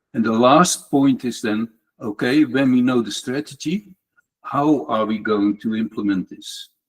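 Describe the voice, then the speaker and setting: A man has a normal speaking voice of medium pitch with ordinary pitch variation. He goes at a fairly slow pace in a dry, close sound with no echo. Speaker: tech community speaker. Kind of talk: lightning talk presentation.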